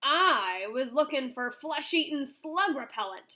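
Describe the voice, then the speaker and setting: A woman does a gruff, growling put-on character voice with a high pitch. She talks at a fairly slow pace with lively intonation. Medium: read story.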